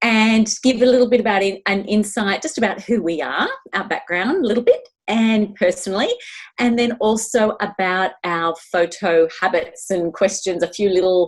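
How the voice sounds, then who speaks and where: Here a woman speaks with an Australian accent at a moderate pace. Her medium pitch shows ordinary variation. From Melbourne, Australia. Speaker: podcast co-host. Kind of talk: casual chat.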